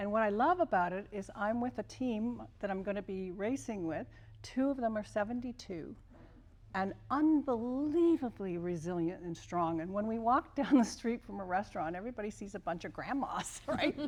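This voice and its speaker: Here is a normal speaking voice from a woman at medium pitch. She moves at a moderate pace with lively intonation. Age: 60s. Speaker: former Olympian and kinesiology professor. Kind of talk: panel interview.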